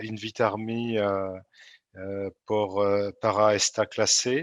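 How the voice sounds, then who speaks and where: Speaking with a French accent, a man uses a fairly low pitch and fairly even intonation. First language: French (speaking Spanish). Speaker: energy program coordinator. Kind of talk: lecture. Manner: halting, many fillers.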